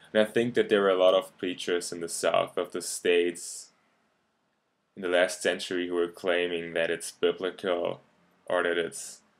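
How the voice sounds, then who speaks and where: Monotone, flat intonation and a German accent come at a moderate pace in a very clean recording with a silent background. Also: man, very deep, low pitch for a man. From Germany. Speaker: YouTube commentator. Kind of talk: video response argument. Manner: halting, many fillers.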